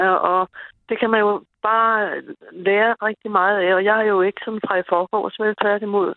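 Delivered in a monotone, flat intonation, the speech moves at a fairly slow speed. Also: woman. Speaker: caller. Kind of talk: casual chat. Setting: phone call.

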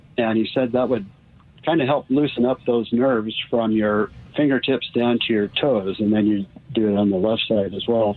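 At a moderate pace, a plain, everyday voice keeps very even loudness and fairly even intonation. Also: man. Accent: American. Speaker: caller. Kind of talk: casual medical question. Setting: phone call.

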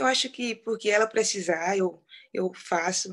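Fairly even intonation marks an ordinary speaking voice. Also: woman. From Brazil, rural Piauí. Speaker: professional footballer. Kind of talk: interview.

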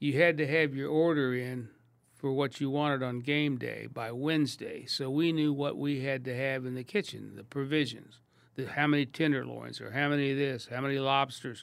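This is an ordinary speaking voice with an American accent, moving at a moderate pace with fairly even intonation. The recording is very clean, with a silent background. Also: man, fairly high pitch for a man. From Kansas City, US Midwest. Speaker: restaurateur. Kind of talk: casual chat.

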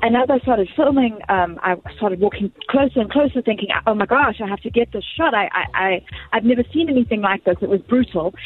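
Amid noticeable background noise, a woman speaks at a fairly quick pace and fairly high pitch with ordinary pitch variation. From Zimbabwe. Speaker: news anchor and journalist.

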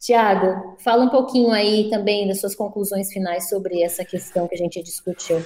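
A woman of medium pitch talks at a moderate pace with fairly even intonation and hardly any pauses. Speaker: podcast host. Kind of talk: casual chat.

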